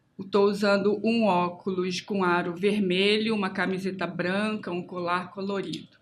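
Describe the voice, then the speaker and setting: Fairly even intonation carries this woman's medium-pitched voice. She speaks at a very slow pace. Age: 60s. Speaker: architect and educator. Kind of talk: self-introduction.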